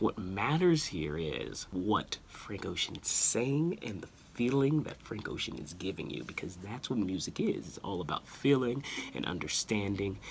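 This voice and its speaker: Soft-spoken and fairly low in pitch, a man talks at a moderate pace with very wide pitch swings over light background noise. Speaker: music commentator, video creator. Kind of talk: casual talk to camera, music commentary. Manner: soft-spoken, quiet. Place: home room. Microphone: phone near.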